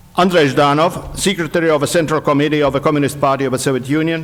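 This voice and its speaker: A man talks with fairly even intonation and a fairly high pitch. Noticeable background noise can be heard. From Estonia, Pärnumaa. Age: 60s. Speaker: historian. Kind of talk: conference speech. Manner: formal.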